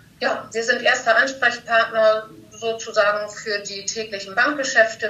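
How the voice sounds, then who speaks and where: A woman talks at a moderate pace while background noise is noticeable. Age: 40s. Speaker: bank service employee. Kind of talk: casual interview.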